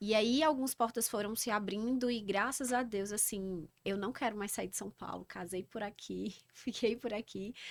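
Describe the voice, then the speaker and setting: A woman with a northeastern Brazilian accent speaks at a moderate pace with fairly even intonation. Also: fairly high pitch for a woman, hardly any pauses, very clean recording, silent background. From Northeast Brazil, Campina Grande, Paraíba. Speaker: organizational psychologist. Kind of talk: podcast interview.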